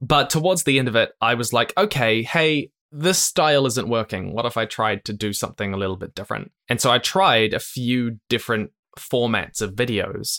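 A man with a New Zealand accent, medium pitch and lively intonation, a bright, sharp tone at a moderate pace, in a dry, close sound with no echo on a very clean recording with a silent background. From New Zealand, Christchurch. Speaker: YouTuber, educational content creator. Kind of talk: interview.

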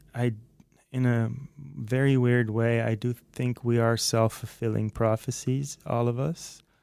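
This man, with a Dutch accent, talks at a medium pitch with fairly even intonation. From Netherlands, near Haarlem. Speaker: music producer and guitarist. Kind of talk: casual chat. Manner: halting, repeats words.

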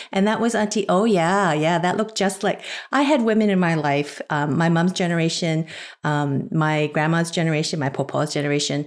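A woman with an unremarkable speaking voice talks fairly quickly at a fairly low pitch, with ordinary pitch variation. Her loudness holds very even on a very clean recording with a silent background. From Canada. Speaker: podcast panelist. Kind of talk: casual chat.

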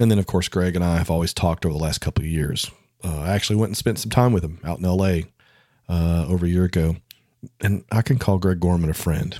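On a very clean recording with a silent background, a man speaks fairly quickly in a very deep, low voice with ordinary pitch variation. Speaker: podcast host and photographer. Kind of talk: interview, casual conversation.

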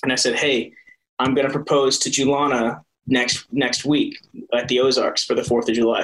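Delivered at a moderate pace, an unremarkable speaking voice keeps its intonation fairly even. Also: man. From US Midwest, Iowa. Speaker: soap opera actor. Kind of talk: casual interview.

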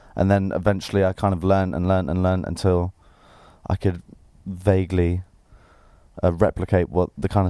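With an English accent, a man speaks in a very deep, low, dark and mellow voice, flat and monotone, moving at a fairly quick pace between long, frequent pauses. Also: very clean recording, silent background. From England. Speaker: musician. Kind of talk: interview.

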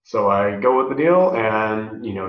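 Speaking with an American accent is a man. Audible room echo surrounds the recording. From US West (rural desert California). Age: 30s. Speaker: professional wrestler. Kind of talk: casual interview.

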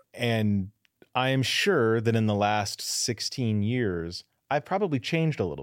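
In a plain, everyday voice, a speaker with an American accent talks at a fairly slow pace with lively intonation, on a very clean recording with a silent background. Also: man, medium pitch for a man. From US West (Southern California and Denver suburbs). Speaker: podcast host. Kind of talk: casual chat.

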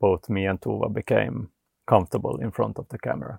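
Vocal fry runs through this man's fairly low voice, which shows ordinary pitch variation. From Finland, Vaasa (Ostrobothnia). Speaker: off-grid homesteader and YouTube filmmaker. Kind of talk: casual interview.

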